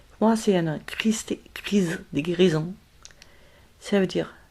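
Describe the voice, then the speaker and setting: This woman has a German accent and a fairly low pitch. She speaks at a fairly slow pace with fairly even intonation. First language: German (speaking French). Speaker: spiritual medium. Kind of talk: spiritual talk to camera. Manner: halting, many hesitations.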